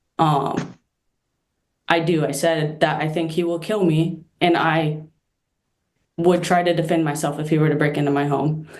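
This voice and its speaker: Very deep and low in pitch, a woman speaks in a monotone, flat way at a moderate pace. Long, frequent pauses break her speech, and audible room echo surrounds it. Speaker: petitioner in court hearing. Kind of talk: court testimony.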